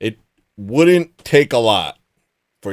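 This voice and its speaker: In a very clean recording with a silent background and a dry, close sound with no echo, a man speaks at a very slow pace with lively intonation. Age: 40s. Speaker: livestream host. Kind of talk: casual chat.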